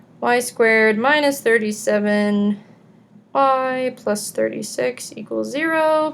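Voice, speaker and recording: The woman's voice sits fairly high. She speaks very slowly. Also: ordinary pitch variation. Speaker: math teacher. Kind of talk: recorded lecture. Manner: casual.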